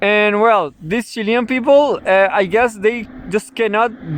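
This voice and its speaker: The speaker talks at a fairly slow pace. Noticeable background noise can be heard. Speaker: news commentator vlogger. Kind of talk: casual news commentary monologue. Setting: outdoors, in the middle of nowhere. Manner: loud; halting, many fillers and repetitions.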